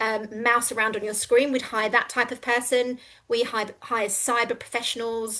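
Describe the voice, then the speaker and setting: A woman's fairly high, bright, sharp voice with a London accent, monotone, flat intonation, a moderate pace and a quiet background. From England, London. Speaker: recruitment company co-founder. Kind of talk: business pitch.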